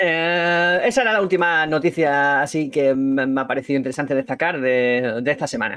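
Bright and sharp in tone, a man talks at a moderate pace with hardly any pauses. His fairly high pitch shows ordinary variation over a quiet background. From Andalusia, Spain (Ceuta). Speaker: podcast host, photographer. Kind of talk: casual chat.

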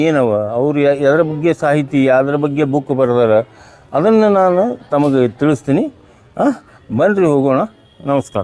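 His loudness very even, a man talks at a fairly high pitch with ordinary pitch variation. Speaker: travel vlogger. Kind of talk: vlog narration.

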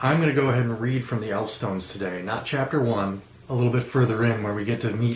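The clip consists of plain reading aloud.

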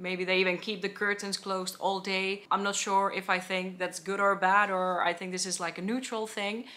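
With a Finnish accent, a woman talks in a bright, sharp tone and a monotone, flat intonation, at a moderate pace with hardly any pauses. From Finland. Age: 20s. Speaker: travel vlogger. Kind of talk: vlog monologue. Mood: light, amused. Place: home room.

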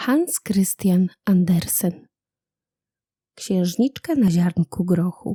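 Speaking at a very slow pace, a woman uses a medium pitch and a dark, mellow, warm tone that is somewhat breathy. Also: ordinary pitch variation. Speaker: audiobook narrator. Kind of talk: bedtime story reading of a fairy tale, gentle storyteller's narration. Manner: soft, warm and unhurried, with storyteller's intonation.

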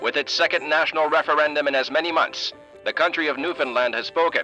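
Music plays behind a man speaking at a fairly quick pace. His pitch is fairly high, with ordinary pitch variation. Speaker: voice actor. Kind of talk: theatre promo read.

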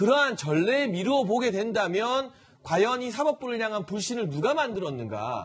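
This man's voice sits high for a man and has lively intonation. He keeps to a moderate pace. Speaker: political commentator. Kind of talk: TV news panel discussion. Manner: formal. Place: studio.

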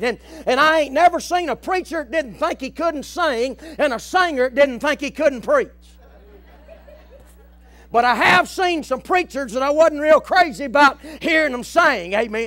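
An American-accented man at an extremely high pitch talks at a moderate pace, with ordinary pitch variation and long, frequent pauses. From American South. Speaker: preacher. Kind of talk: revival sermon, plain preaching. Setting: tent revival before a live congregation. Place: church.

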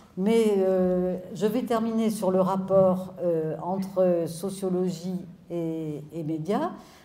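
A woman does the talking. She uses ordinary pitch variation. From France. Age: 70s. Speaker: sociologist; speaker. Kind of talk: public talk. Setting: stage with audience. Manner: animated. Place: hall. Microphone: handheld.

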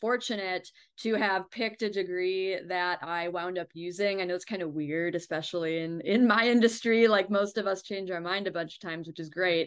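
Against a quiet background, a woman speaks fairly quickly with fairly even intonation. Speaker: remote interview guest. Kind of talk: interview answer. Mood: friendly, smiling. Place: home room. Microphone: video call.

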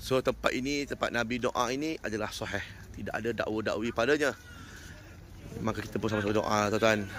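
A man's unremarkable speaking voice at medium pitch, fairly quick and with fairly even intonation. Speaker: umrah tour guide and video host. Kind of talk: on-location guided tour vlog. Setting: outdoors at historic mosque site.

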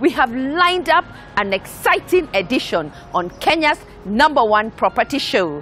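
A woman at a fairly slow pace, dry sound with no echo, faint music in the background. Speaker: TV show host. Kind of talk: presenter address to camera. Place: garden. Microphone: lapel.

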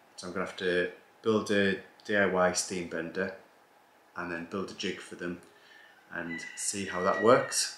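At a moderate pace, a man speaks with a very deep, low pitch against noticeable background noise. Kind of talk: casual vlog chat. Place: home room.

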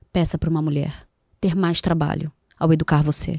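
A woman's somewhat breathy, dark, mellow voice with a dry sound and no echo. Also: quiet background. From Rio de Janeiro, Brazil. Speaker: psychoanalyst and NGO founder; psychoanalyst. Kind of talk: casual interview. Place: studio. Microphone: studio mic.

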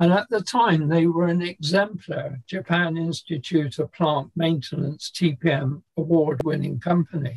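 In a British accent, a man with a high pitch and ordinary pitch variation speaks at a fairly slow pace with very even loudness against a quiet background. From England. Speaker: maintenance consultant and author. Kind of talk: interview. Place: home room. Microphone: webcam.

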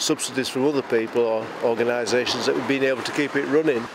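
Noticeable background noise surrounds a man's dry sound with no echo. His intonation stays fairly even. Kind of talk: interview answer. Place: street. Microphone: handheld.

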